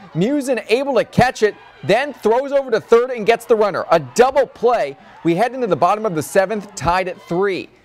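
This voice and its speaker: A high-pitched man at a moderate pace, lively in intonation, over noticeable background noise. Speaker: sports anchor and reporter. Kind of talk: local TV sports broadcast anchor read.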